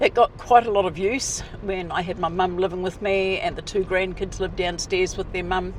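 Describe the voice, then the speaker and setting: A woman keeps her intonation fairly even while noticeable background noise plays. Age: 70s. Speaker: retiree. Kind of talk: casual talk to camera.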